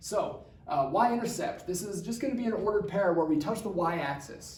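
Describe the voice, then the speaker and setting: A man with a high pitch speaks at a fairly quick pace with lively intonation, and there is noticeable background noise. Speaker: math teacher. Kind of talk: tutorial. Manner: fast; casual.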